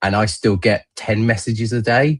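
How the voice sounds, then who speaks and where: Somewhat breathy and fairly even in intonation, a man's voice comes through dry and close with no echo. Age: 40s. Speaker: darts business guest. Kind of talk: casual chat.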